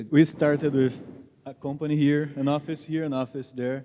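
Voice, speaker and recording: With a Portuguese accent, a man speaks in a fairly high pitch and a dark, mellow tone, keeping his intonation fairly even. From Brazil. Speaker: tech company co-founder and CTO. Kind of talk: onstage interview at a tech event.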